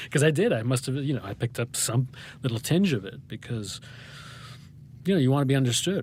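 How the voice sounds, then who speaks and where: A man with an American accent speaks at a very fast pace, somewhat breathy. Long pauses come often. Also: medium pitch for a man, ordinary pitch variation. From New Hampshire, US. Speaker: playwright and poet. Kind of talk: interview. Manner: fast, talkative; halting, many false starts.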